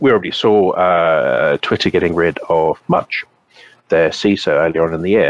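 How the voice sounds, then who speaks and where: Here a man speaks with a British accent at a moderate pace. The sound is dry and close, with no echo. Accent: English (British), obvious. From England. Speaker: cybersecurity consultant. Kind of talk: casual interview.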